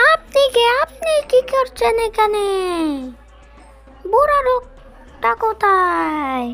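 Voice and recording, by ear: A female-sounding cartoonish character voice speaks very slowly at an extremely high pitch. Faint music plays in the background.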